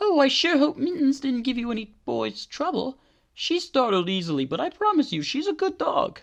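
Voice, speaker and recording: A put-on character voice, high in pitch, at a moderate pace. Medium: solo performance. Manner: rambling, sweet.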